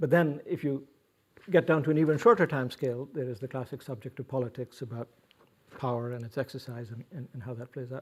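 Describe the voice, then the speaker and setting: Somewhat breathy and at a medium pitch, a man talks at a very fast pace with ordinary pitch variation and big swings in loudness. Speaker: professor hosting a panel discussion. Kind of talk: moderated panel introduction. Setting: room with live audience. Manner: soft-spoken; halting, many fillers and repetitions.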